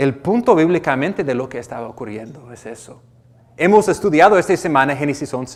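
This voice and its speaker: A man with an American accent talks at a fairly quick pace, his pitch fairly high. His intonation is lively, and his loudness swings widely. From United States. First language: English (speaking Spanish). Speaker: pastor. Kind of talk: sermon. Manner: halting, with repetitions.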